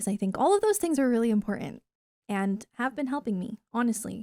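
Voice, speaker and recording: In a dry, close sound with no echo, a woman with a fairly high pitch speaks in an unremarkable speaking voice with lively intonation. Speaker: gaming YouTuber. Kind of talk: casual vlog talk to camera.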